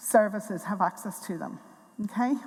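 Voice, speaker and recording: A woman with an Irish accent speaks at a moderate pace with ordinary pitch variation. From Tipperary, Ireland. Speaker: NHS mental health director. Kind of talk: conference talk.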